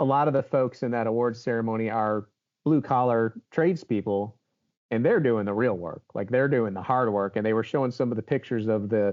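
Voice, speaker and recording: With an American accent, a man speaks in an unremarkable speaking voice at medium pitch and a fairly quick pace, using ordinary pitch variation. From Baltimore, Maryland. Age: 50s. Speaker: HVAC show host and influencer. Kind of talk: interview conversation.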